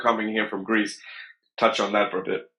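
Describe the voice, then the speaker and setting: This man has a fairly low pitch and a bright, sharp tone. He speaks with an American accent in a monotone, flat intonation. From US. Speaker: podcast host. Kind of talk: podcast interview.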